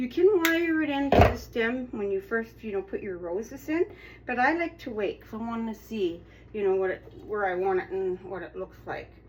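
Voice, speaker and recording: Noticeable background noise sits behind a woman speaking at a fairly slow pace. Her fairly high pitch swings very widely. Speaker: craft tutorial host. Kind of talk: tutorial. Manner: casual, chatty; slow, unhurried.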